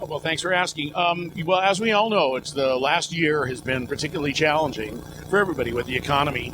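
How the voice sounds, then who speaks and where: The speech moves at a very fast pace. There is noticeable background noise. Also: man. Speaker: professional voice talent, announcer. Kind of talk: casual interview answer. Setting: trade show interview. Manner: upbeat, playful.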